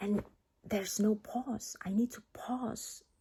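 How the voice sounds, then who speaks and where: A woman's medium-pitched voice with vocal fry and a dark, mellow tone. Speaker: vlogger. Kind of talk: personal vlog monologue. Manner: halting, many fillers.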